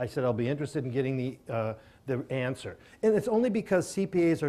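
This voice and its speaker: A man with an American accent talks at a fairly quick pace with lively intonation and a dark, mellow tone, recorded very cleanly against a silent background. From Minnesota. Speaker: self-directed IRA specialist speaker. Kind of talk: seminar presentation with Q&A. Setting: live audience at a seminar.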